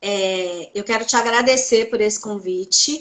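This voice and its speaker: Speech in a Minas Gerais accent comes at a very slow pace with ordinary pitch variation. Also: woman. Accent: Minas Gerais (mineiro). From Brazil, Belo Horizonte (Minas Gerais). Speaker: psychoanalyst. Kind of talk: interview on live stream.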